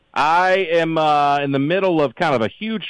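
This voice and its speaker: In a dry, close sound with no echo, a man speaks with a Southern US accent. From US South (Alabama, then Tennessee). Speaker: comedian. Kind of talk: casual chat. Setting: remote call.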